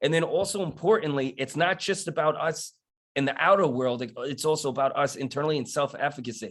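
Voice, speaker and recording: Against a quiet background, a man talks at a fairly quick pace in a fairly high pitch, his intonation lively. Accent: New York. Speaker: police wellness and resilience speaker. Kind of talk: panel talk. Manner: halting, with false starts.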